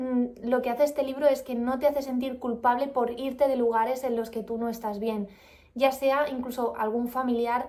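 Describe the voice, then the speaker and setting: This woman's high voice holds fairly even intonation at a moderate pace. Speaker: vlogger. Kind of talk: book review vlog. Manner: calm.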